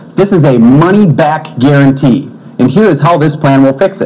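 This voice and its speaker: Speech moves along at a moderate pace. Its pitch shifts by an ordinary amount. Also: man. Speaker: candidate. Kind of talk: debate statement. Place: studio. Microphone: podium.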